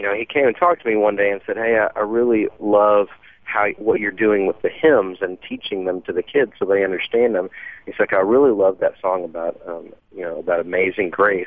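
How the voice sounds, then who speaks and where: Speaking at a moderate pace, the man has a normal speaking voice, a fairly low pitch, fairly even intonation and an American accent. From Dallas, Texas. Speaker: singer songwriter. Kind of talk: radio interview. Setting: phone call.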